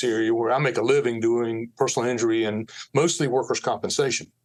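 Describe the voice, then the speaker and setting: A man speaks in an American accent with a plain, everyday voice. He has a medium pitch and a fairly quick pace. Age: 60s. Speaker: lawyer. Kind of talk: podcast interview. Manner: conversational, with many fillers.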